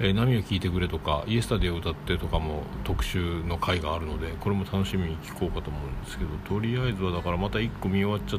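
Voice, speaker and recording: Very deep and low in pitch, a man speaks at a very fast pace with hardly any pauses and ordinary pitch variation, amid noticeable background noise and audible room echo. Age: 40s. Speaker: solo podcaster. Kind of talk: casual solo monologue. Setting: home studio. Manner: halting, many fillers.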